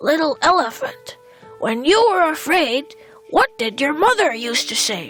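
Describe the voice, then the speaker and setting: Over faint background music, a woman performs a put-on character voice at a moderate pace. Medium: read story. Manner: barks between words.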